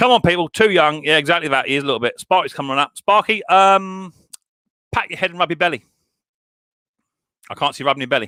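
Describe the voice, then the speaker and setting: Animated and bright with a sharp tone, a man speaks with an English accent at a fairly high pitch, his voice making very wide pitch swings. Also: dry, close sound with no echo. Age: 40s. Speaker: YouTuber hosting live stream. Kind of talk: casual live stream chat. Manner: animated, repetitive.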